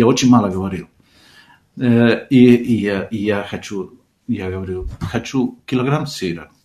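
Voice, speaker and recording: Fairly slow delivery with long, frequent pauses, a dark, mellow tone and ordinary pitch variation. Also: man, fairly low pitch for a man. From Argentina. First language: Spanish (speaking Russian). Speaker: composer and music teacher. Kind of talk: radio interview. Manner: halting.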